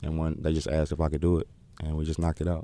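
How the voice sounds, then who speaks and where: A dark, mellow tone with monotone, flat intonation. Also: man. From Oakland, California. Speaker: rapper. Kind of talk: casual interview.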